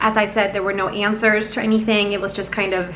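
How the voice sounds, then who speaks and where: A woman's fairly high voice carries audible room echo, with noticeable background noise as well. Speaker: vlogger. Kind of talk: vlog talk to camera.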